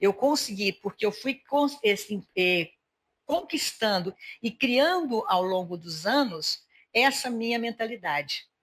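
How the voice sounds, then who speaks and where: A woman with a fairly high pitch talks very slowly, her pitch swinging very widely. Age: 60s. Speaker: podcast host. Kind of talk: casual interview chat.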